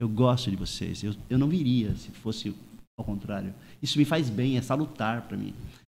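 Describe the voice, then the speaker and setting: Recorded very cleanly over a silent background, a man speaks at medium pitch and a moderate pace in a dark, mellow tone with ordinary pitch variation. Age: 60s. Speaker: surfer and surf instructor. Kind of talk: panel discussion.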